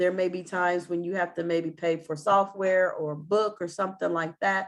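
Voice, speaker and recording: A woman uses a normal speaking voice, pitched fairly low, at a moderate pace. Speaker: government small business advisor. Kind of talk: webinar presentation. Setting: online webinar.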